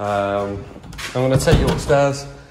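A man speaks with ordinary pitch variation. Loud background noise runs underneath. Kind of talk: property tour narration. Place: home room. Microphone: phone near.

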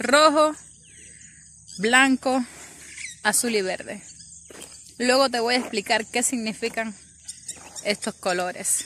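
A woman speaks at a very slow pace with long, frequent pauses and ordinary pitch variation. The sound is dry with no echo, over light background noise. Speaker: vlogger abroad on mission. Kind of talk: casual vlog chat. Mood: earnest, patriotic, nostalgic. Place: open country. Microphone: phone near.

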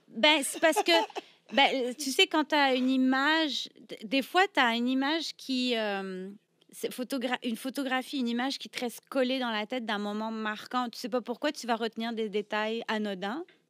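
A woman speaks at a high pitch and a moderate pace, with ordinary pitch variation. Her loudness swings widely, and the background is quiet. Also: dry sound with no echo. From France, Brittany. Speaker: burlesque performer; podcast guest. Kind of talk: casual interview. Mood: reflective storytelling. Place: studio. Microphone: studio mic.

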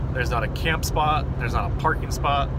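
A man's voice comes through dry with no echo, over loud background noise. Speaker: driver vlogger. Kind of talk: casual vlog chat. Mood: mildly frustrated. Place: car. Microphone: phone near.

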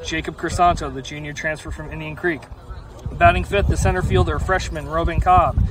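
Amid noticeable background noise, a man speaks at a fairly quick pace in a dry sound with no echo. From US Mid-Atlantic. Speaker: high school sports commentator. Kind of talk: live commentary. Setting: outdoors. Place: stadium.

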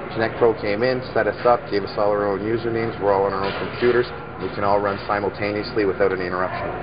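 Noticeable background noise runs under a man who talks at a very fast pace. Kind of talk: interview answer. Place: shop. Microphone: lapel.

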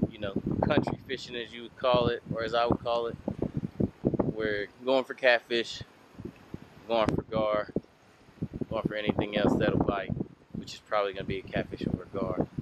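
A man talks at a moderate pace. The sound is dry with no echo, though loud background noise runs behind it. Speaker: fishing vlogger. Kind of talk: casual vlog chat. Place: waterside. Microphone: phone near.

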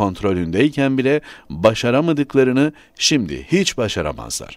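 Spoken at a moderate pace with very wide pitch swings, this voice comes through on a very clean recording against a silent background. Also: man. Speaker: newspaper columnist. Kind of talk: reading aloud.

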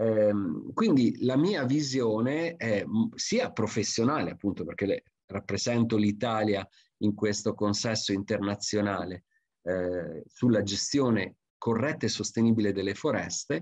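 The speech moves at a fairly slow pace with very even loudness, against a quiet background and a dry sound with no echo. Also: man, fairly low pitch for a man, ordinary pitch variation. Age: 50s. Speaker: forestry expert and lecturer; lecturer. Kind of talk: conference talk. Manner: hesitant with frequent fillers. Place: home room. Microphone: webcam.

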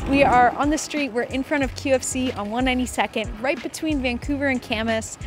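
Clear music plays in the background as a woman speaks. Her pitch is high, and the sound is dry with no echo. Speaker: street interviewer, channel host. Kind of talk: casual vlog intro to camera. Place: street. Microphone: handheld.

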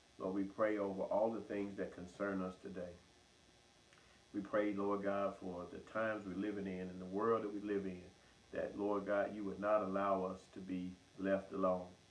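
A man's fairly low voice in a monotone, flat intonation at a moderate pace. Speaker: pastor. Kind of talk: prayer. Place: church. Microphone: camera far.

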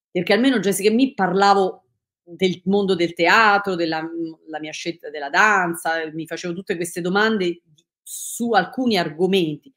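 Against a quiet background, a woman speaks at a moderate pace. Her loudness swings a lot, while her pitch variation is ordinary. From Italy, Rome. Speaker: dancer and choreographer; interviewee. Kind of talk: interview. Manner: halting, many fillers and restarts. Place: home room.

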